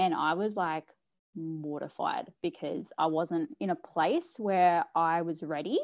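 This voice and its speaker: Very slowly, a woman speaks with an Australian accent. Her pitch is fairly low. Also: ordinary pitch variation. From Australia, New South Wales South Coast. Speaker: mother sharing birth story. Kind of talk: personal story interview. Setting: video call.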